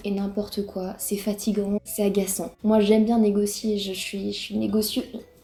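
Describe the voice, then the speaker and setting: Against noticeable background noise, a woman at a medium pitch speaks at a fairly slow pace in a Breton accent with monotone, flat intonation. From Brittany, France. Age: 20s. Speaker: YouTuber. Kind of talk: casual reaction vlog. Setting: home, alone in living room.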